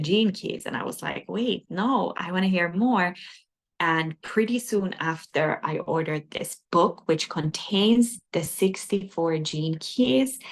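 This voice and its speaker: A woman with a non-native accent at a fairly slow pace, with ordinary pitch variation. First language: not English. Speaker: spiritual teacher. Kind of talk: lecture. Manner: hesitant, with frequent fillers.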